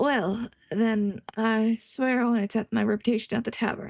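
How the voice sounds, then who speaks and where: Delivered in a put-on character voice, the shaky speech moves at a moderate pace with fairly even intonation. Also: woman, fairly high pitch for a woman. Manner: solemn, serious oath.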